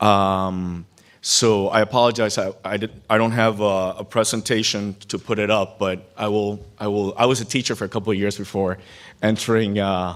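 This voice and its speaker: A man's fairly low voice at a moderate pace, monotone and flat in intonation. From Cuban-American background. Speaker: keynote speaker, former congressional staffer. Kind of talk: keynote speech.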